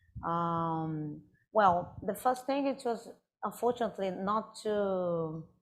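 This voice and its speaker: A woman speaks very slowly in a Brazilian Portuguese accent, her medium pitch carried by lively intonation. The background is quiet. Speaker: artist. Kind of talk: audience Q&A at a live talk. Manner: halting.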